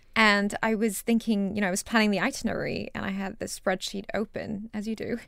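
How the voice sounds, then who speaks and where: Vocal fry runs through speech at a fairly quick pace in a very clean recording with a silent background. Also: woman. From Singapore. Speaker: fashion startup founder. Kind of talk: interview.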